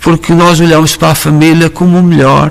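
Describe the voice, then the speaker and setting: A man speaking in a European Portuguese accent. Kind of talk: sermon. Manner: halting, with many fillers.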